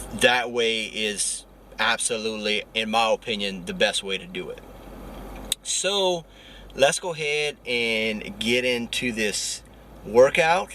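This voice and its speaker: Over noticeable background noise, a man speaks at a very slow pace with lively intonation and long, frequent pauses. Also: medium pitch for a man. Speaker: fitness vlogger. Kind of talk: vlog workout tutorial. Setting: at the gym.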